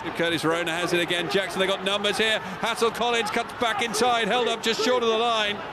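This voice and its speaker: Over noticeable background noise, a man with a high voice and ordinary pitch variation speaks in a raised, projected voice at very even loudness, moving at a fairly quick pace with hardly any pauses. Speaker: rugby match commentator. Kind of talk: live sports commentary. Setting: over match footage, highlights reel.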